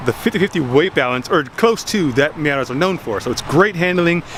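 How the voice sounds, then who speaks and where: A man talks with a fairly high pitch and lively intonation. His tone is animated. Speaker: car enthusiast vlogger. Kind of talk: casual video talk. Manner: fast.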